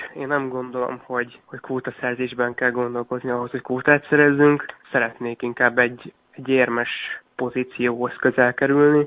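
Speaking at a fairly quick pace, a man keeps a medium pitch and monotone, flat intonation. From Hungary, Miskolc. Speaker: sprint canoeist. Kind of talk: radio interview.

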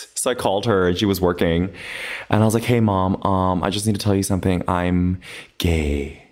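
A man with an American accent, very deep and low in pitch, at a moderate pace with fairly even intonation. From Los Angeles. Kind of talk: casual chat.

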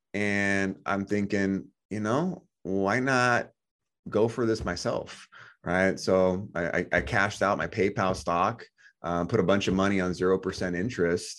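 Here is a man with a plain, everyday voice, fairly low in pitch, with ordinary pitch variation. He speaks at a fairly slow pace over a quiet background. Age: 30s. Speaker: financial education business owner. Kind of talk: interview. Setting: podcast interview.

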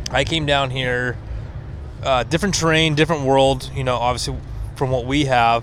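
A man with an American accent at a medium pitch, fairly even intonation and moderate pace, over noticeable background noise. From Washington State. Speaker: off-road enthusiast. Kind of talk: casual chat. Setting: outdoors.

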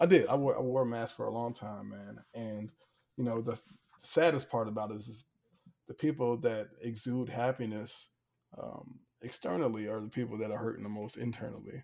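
A man with a medium pitch and a dark, mellow tone talks at a fairly quick pace, using ordinary pitch variation and big swings in loudness. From Hampton, Virginia. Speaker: former college quarterback. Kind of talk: casual interview chat. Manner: animated.

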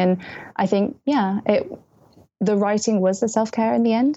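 A woman with a British accent speaks in a dark, mellow tone. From England, early childhood in Malaysia. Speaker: young adult novelist. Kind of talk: casual interview chat. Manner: animated.

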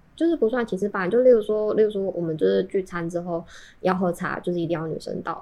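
A woman talks at a very fast pace. Her pitch sits in the medium range and moves in ordinary ways. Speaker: Taiwanese person who has lived in Japan. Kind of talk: casual chat.

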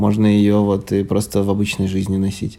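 Here is a man with a normal speaking voice. He talks at a moderate pace with a fairly low pitch. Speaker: podcast co-host. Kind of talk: casual chat. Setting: recorded in an apartment.

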